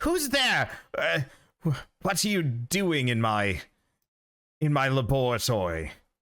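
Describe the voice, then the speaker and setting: Putting on a character voice at medium pitch, a man speaks at a fairly slow pace with long, frequent pauses. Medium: actual play. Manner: fixated on ingredients.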